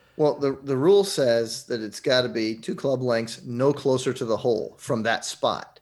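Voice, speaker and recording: An ordinary speaking voice from a man at medium pitch, moderate pace, ordinary pitch variation and hardly any pauses, in a very clean recording with a silent background. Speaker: radio host. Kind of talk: casual chat.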